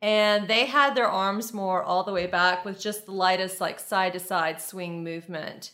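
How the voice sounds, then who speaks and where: A woman with an American accent speaks at a moderate pace and medium pitch with ordinary pitch variation. Her tone is bright and sharp, and the recording is very clean with a silent background. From US South, Lafayette, Louisiana. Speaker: model and actress. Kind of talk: casual interview.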